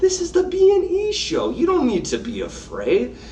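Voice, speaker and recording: Noticeable background noise runs behind the recording. A man speaks at a moderate pace. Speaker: co-host of a business podcast. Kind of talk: casual chat. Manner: animated.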